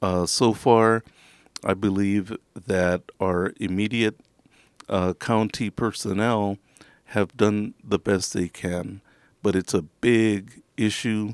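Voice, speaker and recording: The speaker talks very slowly with an American accent. The intonation stays fairly even. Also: man, fairly low pitch for a man, very clean recording, silent background. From San Antonio, Texas. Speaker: college instructor and county judge candidate. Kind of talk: interview. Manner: halting.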